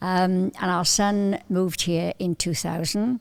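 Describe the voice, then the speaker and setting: The speaker has a Cardiff accent, and the recording is very clean with a silent background. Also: woman. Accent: Welsh, Cardiff. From Wales, Welsh valleys then Cardiff. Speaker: visiting churchgoer, grandmother. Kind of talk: casual chat.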